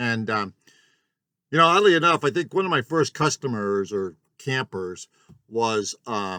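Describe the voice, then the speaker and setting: A man's medium-pitched voice at a moderate pace, pitch swinging very widely, dry and close with no echo, on a very clean recording with a silent background. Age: 60s. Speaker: small business owner, yurt glamping host. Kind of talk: casual vlog monologue. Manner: halting, many filler words.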